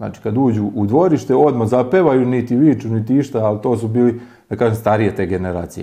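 A dark, mellow tone at a fairly quick pace. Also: man. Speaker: local villager. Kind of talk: interview.

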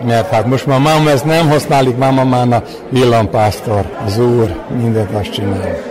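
With noticeable background noise and audible room echo, a man speaks at a fairly slow pace with ordinary pitch variation. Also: medium pitch for a man. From Vojvodina, Serbia. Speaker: folk craftsman, whip braider. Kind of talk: interview.

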